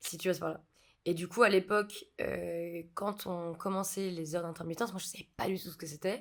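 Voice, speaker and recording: With big swings in loudness but fairly even intonation, a woman with a fairly low voice speaks at a moderate pace. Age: 20s. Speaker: film set electrician. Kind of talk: podcast interview. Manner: hesitant, many fillers.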